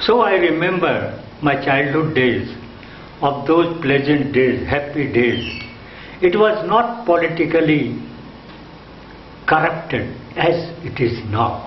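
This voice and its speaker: This man's voice sits fairly high and moves at a very slow pace, with long, frequent pauses and lively intonation. Noticeable background noise and audible room echo surround him. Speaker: retired art teacher. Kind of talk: autobiographical interview talk. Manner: halting.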